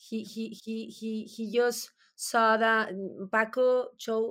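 In a very clean recording with a silent background, a woman speaks. She has a fairly high pitch and a Spanish accent. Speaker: mezcal company CEO. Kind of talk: interview. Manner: halting, frequent repetitions.

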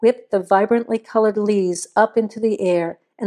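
Over a quiet background comes an unforced reading voice.

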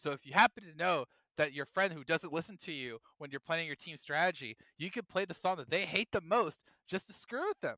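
An animated man with a bright, sharp tone, high pitch, lively intonation, a fairly quick pace, big swings in loudness, and a dry, close sound with no echo. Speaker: podcast host. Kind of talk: casual chat.

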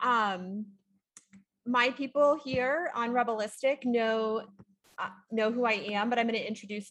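The speaker uses a normal speaking voice with ordinary pitch variation. The pace is fairly slow. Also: woman. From small-town Ontario, Canada. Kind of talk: casual live-stream chat. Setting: live stream at home, sitting next to co-host.

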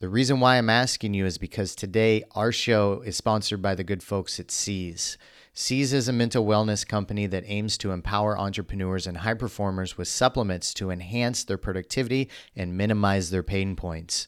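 In a very clean recording with a silent background, a man talks in a normal speaking voice at a fairly low pitch, with hardly any pauses. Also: fairly quick pace. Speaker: podcast host interviewer. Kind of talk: interview.

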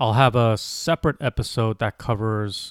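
Over a very clean recording with a silent background, a man talks at a fairly slow pace with fairly even intonation in a dry, close sound with no echo. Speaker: podcast host and personal finance blogger. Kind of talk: solo podcast monologue.

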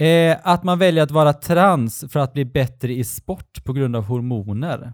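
An ordinary speaking voice with lively intonation moves at a fairly slow pace. The recording is very clean, with a silent background. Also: man. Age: 40s. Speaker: podcast co-host. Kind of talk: casual chat.

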